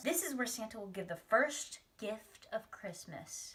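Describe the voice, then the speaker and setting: A put-on character voice, female-sounding, with fairly high pitch for a woman. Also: moderate pace. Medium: read story.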